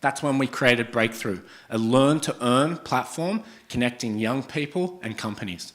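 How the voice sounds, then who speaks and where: A man speaks at medium pitch with an Australian accent. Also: ordinary pitch variation, moderate pace. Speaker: startup founder and CEO. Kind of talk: startup pitch presentation. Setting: stage with audience.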